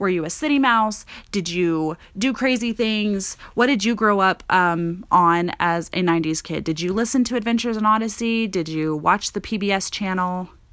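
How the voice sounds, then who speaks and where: Using a plain, everyday voice, a woman with an American accent speaks at a moderate pace and medium pitch, with ordinary pitch variation. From Montana. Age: 20s. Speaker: podcast host. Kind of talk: casual monologue. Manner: conversational, filler-heavy.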